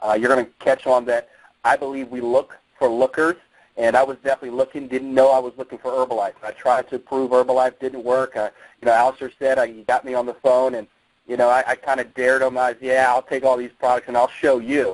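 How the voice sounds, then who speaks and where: An American man talks at a very fast pace over a quiet background. The sound is dry and close, with no echo. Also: medium pitch for a man. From New Jersey. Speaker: network marketing distributor and former Marine fitness coach. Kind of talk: motivational promo call. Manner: energetic.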